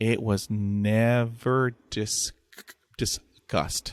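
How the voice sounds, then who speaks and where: A man of medium pitch speaks with a Texan accent in a dry, close sound with no echo. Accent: Texan American English. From Texas. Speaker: podcaster who stutters. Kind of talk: interview conversation. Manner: repetitions and blocks on sounds.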